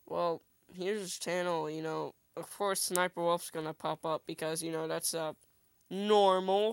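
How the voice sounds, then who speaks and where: At a moderate pace, a woman speaks in a flat monotone at a fairly low pitch, captured in a very clean recording with a silent background. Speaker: gaming YouTuber. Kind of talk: casual vlog. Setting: home recording with headphones. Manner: stutters when tired; rambling, casual.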